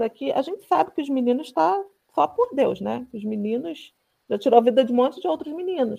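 Her tone is dark and mellow, and her pitch is high. The woman moves at a moderate pace with lively intonation. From Rio de Janeiro, Brazil. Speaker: former municipal guard, participant. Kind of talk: casual discussion. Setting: video call.

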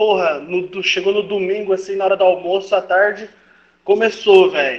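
At a moderate pace, a man speaks with a high pitch in a monotone, flat intonation. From Brazil. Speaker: football commentator. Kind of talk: casual chat.

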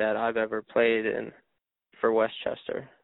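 A man speaks with an American accent. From Pennsylvania, Harrisburg. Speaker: ultimate frisbee player. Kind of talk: podcast interview.

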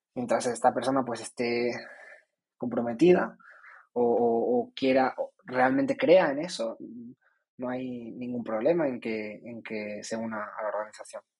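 A man with a medium pitch speaks at a fairly slow pace, using ordinary pitch variation. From Canary Islands (Tenerife). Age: 20s. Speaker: student organization representative. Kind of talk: interview. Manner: halting, many fillers and repetitions.

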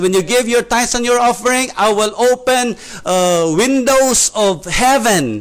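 The man has a Filipino accent. He speaks at a fairly slow pace with ordinary pitch variation. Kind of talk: casual church discussion. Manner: halting, hesitant.

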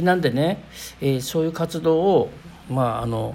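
Noticeable background noise is present. The speaker talks at a fairly quick pace. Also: man. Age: 40s. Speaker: spiritual podcast host. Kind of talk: casual monologue.

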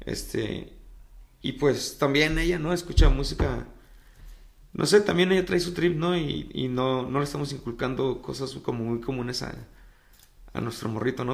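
A man's medium-pitched voice with vocal fry and ordinary pitch variation, moderate pace, long, frequent pauses, and audible room echo. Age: 30s. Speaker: musician and tattoo artist. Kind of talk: casual chat.

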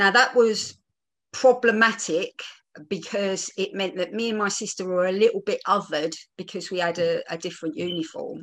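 A woman with an East London accent speaks at a moderate pace and medium pitch, her pitch varying in an ordinary way. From East End of London. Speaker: theatre producer and panel speaker. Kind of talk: personal talk at online panel. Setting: video call.

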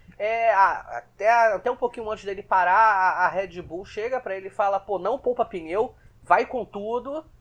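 Hardly pausing at all, the talking keeps a moderate speed. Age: 20s. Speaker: Formula 1 podcast co-host. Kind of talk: casual chat.

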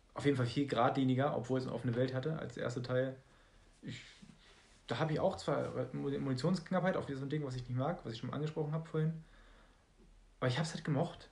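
Talking at a very fast pace yet broken by long, frequent pauses, a man with a fairly high pitch sounds somewhat breathy, his pitch varying in an ordinary way, with audible room echo around him. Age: 20s. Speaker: podcast co-host. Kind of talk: casual chat.

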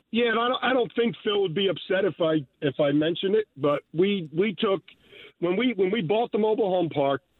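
At a moderate pace, the voice rises and falls with lively intonation. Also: man. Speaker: caller, student. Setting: phone call.

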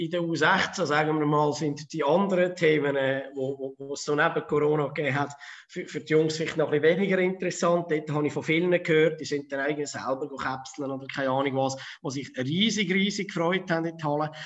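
With a Zurich accent, a man speaks at a fairly quick pace, his fairly high pitch held in fairly even intonation. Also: hardly any pauses. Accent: Zurich Swiss German dialect. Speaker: floorball youth coach. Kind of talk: casual interview.

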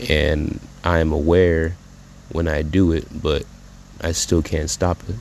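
A man's very deep, low voice, monotone and flat, at a fairly slow pace with long, frequent pauses and noticeable background noise. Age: 20s. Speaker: spoken word poet. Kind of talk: freestyle spoken word poem. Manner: emotional, halting.

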